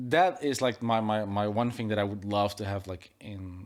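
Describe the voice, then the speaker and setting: A man speaks with a Dutch accent. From Netherlands. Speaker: tech YouTuber and podcast host. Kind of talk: casual interview conversation. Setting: studio. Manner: hesitant, many fillers and restarts.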